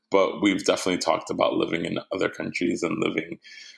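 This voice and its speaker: The speaker is a man with an American accent. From New Jersey, US (Jersey City). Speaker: event producer. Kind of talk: casual interview conversation.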